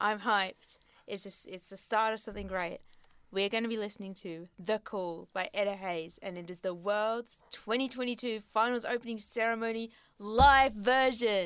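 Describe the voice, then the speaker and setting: A woman with an unremarkable speaking voice talks at a fairly high pitch and a moderate pace. Her intonation is fairly even, but her loudness swings widely. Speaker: radio host. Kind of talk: casual chat. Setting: studio.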